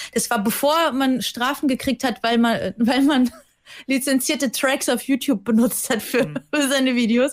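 At a moderate pace, a woman speaks at a high pitch with fairly even intonation and very even loudness. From Germany. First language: Russian (speaking German). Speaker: TV presenter. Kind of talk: casual chat. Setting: remote call.

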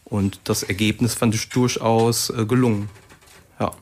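Against noticeable background noise, a man speaks in a fairly low, monotone voice with flat intonation. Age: 30s. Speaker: author and drummer. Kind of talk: radio interview.

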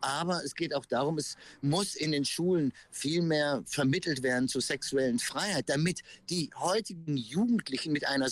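The sound is dry and close, without any echo. A man with a fairly high pitch talks at a moderate pace. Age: 50s. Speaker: pride event organizer. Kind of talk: interview. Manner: halting, many fillers.

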